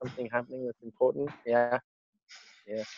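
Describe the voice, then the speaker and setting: Sound here is dry and close, without any echo. The tone comes across dark and mellow. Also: man. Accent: French. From Hong Kong, French school, mixed Italian-English family. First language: French. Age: 40s. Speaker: interviewee. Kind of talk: interview.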